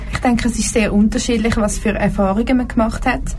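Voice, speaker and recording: A woman talks at a fairly quick pace. Room echo and noticeable background noise can be heard. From Zurich Oberland, Switzerland. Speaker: engineering student. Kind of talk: casual chat. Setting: studio.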